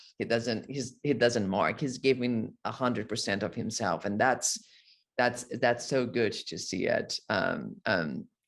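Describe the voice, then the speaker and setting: This speaker has a Brazilian accent and an ordinary amount of pitch variation. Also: man, medium pitch for a man, fairly slow pace. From Brazil, Rio de Janeiro. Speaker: actor. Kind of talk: interview. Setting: video call. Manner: halting, many repetitions.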